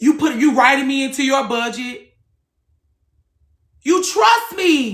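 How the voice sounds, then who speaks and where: A loud, high-pitched woman's voice at a very slow pace, with very wide pitch swings and long, frequent pauses. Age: 30s. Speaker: livestream host, former hairstylist. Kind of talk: casual chat. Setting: live stream.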